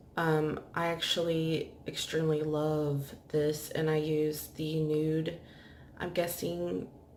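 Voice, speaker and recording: A quiet woman's voice, very deep and low in pitch, over light background noise. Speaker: beauty vlogger. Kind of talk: makeup tutorial. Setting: at home, bedroom. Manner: casual. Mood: relaxed, a bit low. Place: home room. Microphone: phone near.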